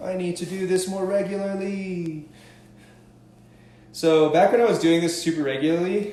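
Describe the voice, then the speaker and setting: A man with a high pitch talks at a moderate pace, with ordinary pitch variation. Audible room echo and noticeable background noise surround him. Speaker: stretching coach. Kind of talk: live fitness tutorial. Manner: casual, upbeat.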